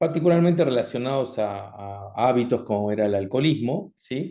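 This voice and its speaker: The man's tone is dark and mellow, his pitch medium. He speaks with lively intonation. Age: 60s. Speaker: doctor, cardiologist. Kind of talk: online health talk. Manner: halting, many fillers.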